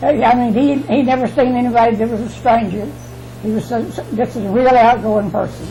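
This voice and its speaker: Music plays in the background as a woman talks at a fairly quick pace. Room echo is audible. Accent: Southern US. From US South, Alabama. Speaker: interviewee. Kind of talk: oral history interview. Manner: halting.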